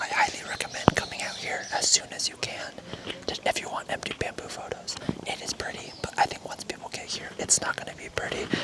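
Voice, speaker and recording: Whispering at a very fast pace, a man speaks over noticeable background noise. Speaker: travel vlogger. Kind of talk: casual vlog narration. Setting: outdoors. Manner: casual with many fillers.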